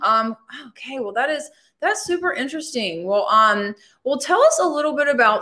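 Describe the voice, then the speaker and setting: With a Southern US accent, a woman speaks with lively intonation. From Alabama. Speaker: podcast host. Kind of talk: casual interview.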